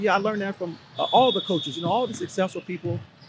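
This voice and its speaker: Over noticeable background noise, a man with an American accent talks at a very fast pace with lively intonation. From Los Angeles (Compton), California. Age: 50s. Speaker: basketball coach. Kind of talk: podcast interview. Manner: casual, conversational with fillers.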